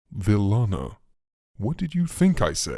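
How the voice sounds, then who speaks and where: This man talks fairly slowly in a put-on character voice pitched fairly low. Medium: read story. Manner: sly, smooth, mocking.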